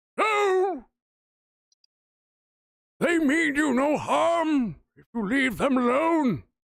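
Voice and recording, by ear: A put-on character voice, high-pitched, at a very slow pace.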